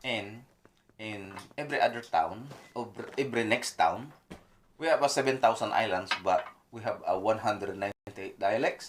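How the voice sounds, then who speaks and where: A man with a Filipino accent speaks at a moderate pace in a medium-pitched voice with ordinary pitch variation, leaving long, frequent pauses. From Philippines. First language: Filipino regional language. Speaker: mechanic. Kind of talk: casual chat. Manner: halting.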